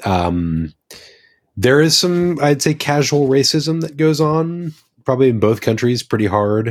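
A plain, everyday voice from a man, fairly high in pitch, with lively intonation at a fairly slow pace. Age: 30s. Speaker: returning former podcast co-host. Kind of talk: casual chat. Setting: remote studio.

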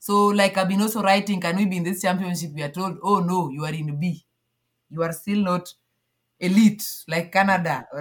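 A woman speaks at a medium pitch with a somewhat breathy voice. Her intonation stays fairly even at a fairly quick pace. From Kenya, Nyanza. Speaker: athlete and sports federation founder. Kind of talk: interview.

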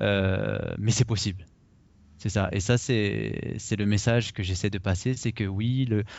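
Fairly even intonation marks a man's fairly low-pitched delivery in a normal speaking voice. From Paris region, France. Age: 30s. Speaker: blogger and investor, expatriate. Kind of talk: interview.

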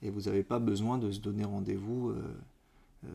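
A man's dark, mellow voice at a fairly low pitch, with ordinary pitch variation and a moderate pace. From Martinique. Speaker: podcast co-host. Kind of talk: casual chat.

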